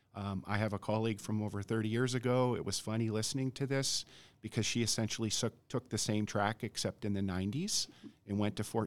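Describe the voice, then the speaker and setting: This man has a plain, everyday voice with an American accent. He talks at a fairly quick pace in a fairly low pitch. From Montana. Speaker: army veteran, university graduate advisor. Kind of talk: podcast discussion.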